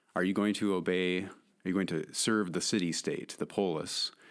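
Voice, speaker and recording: A man's very deep, low voice on a very clean recording with a silent background. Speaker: college faculty member. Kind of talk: casual chat with literary discussion.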